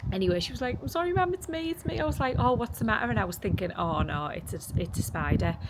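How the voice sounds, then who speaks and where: A woman talks at a very fast pace with hardly any pauses over noticeable background noise. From England. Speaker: vlogger. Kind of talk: casual vlog talk to camera. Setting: in a car.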